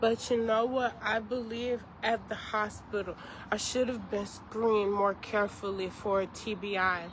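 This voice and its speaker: A woman speaks in a flat, monotone way at a fairly slow pace. Her pitch sits fairly high. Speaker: chef and content creator. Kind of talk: personal video update. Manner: halting, speech impediment after brain injury; struggles to finish sentences.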